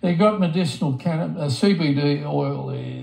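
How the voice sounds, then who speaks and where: A man with an Australian accent, over noticeable background noise. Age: 60s. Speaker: palliative patient. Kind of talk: casual chat. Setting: at home. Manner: halting, repeats words.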